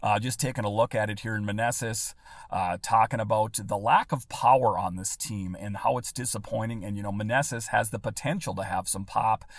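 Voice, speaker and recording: A man with a fairly low pitch speaks at a fairly quick pace. His voice is somewhat breathy, and his intonation stays fairly even. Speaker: podcast host. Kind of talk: podcast episode with ad reads and baseball commentary. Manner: conversational, slightly halting with fillers.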